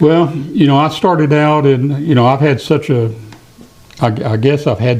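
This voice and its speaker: Speaking at a moderate pace with an East Tennessee accent, the man uses ordinary pitch variation. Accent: Southern US (East Tennessee). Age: 70s. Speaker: podcast guest, retiree. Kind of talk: casual storytelling interview. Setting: studio.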